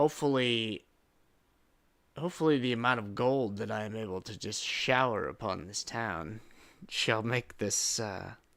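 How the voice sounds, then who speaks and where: Putting on a raspy character voice, a man speaks at a medium pitch and a moderate pace with ordinary pitch variation. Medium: actual play. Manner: halting, rambling, formal.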